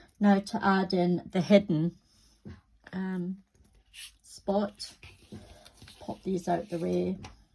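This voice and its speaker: A woman speaks at a medium pitch in a dark, mellow, somewhat breathy tone, her intonation monotone and flat, with long, frequent pauses. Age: 60s. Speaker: crafting youtuber. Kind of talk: crafting tutorial. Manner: casual, chatty.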